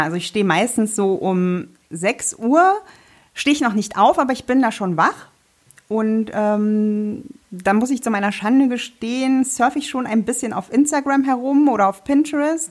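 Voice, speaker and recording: In an unremarkable speaking voice, a woman talks at a fairly high pitch and a fairly slow pace with lively intonation. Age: 30s. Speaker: sewing blogger and podcast co-host. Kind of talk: casual chat.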